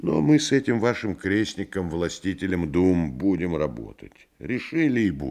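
Vocal fry with very wide pitch swings at a fairly slow pace over a quiet background. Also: man. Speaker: actor reading a novel aloud. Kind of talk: literary audiobook reading. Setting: vintage studio radio recording.

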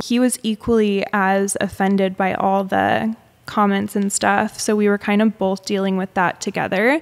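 At a moderate pace, a woman with an American accent speaks in a medium pitch over a quiet background. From Arizona. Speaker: influencer and business founder; influencer. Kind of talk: interview. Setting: at her home. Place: home room. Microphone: studio mic.

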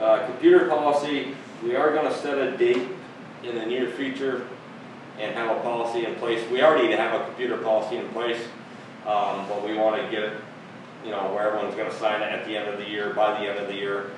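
Strong room echo surrounds a man speaking at a fairly quick pace. Noticeable background noise runs underneath. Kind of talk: meeting remarks. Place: meeting room. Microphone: camera far.

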